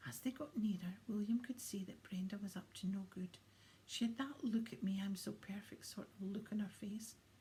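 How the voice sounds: Fairly even intonation in a natural reading voice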